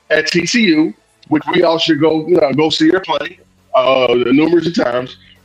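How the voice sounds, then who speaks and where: Music in the background behind a man's fairly high voice, ordinary pitch variation and a moderate pace. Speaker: sports podcast co-host. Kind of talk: casual sports talk. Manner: animated.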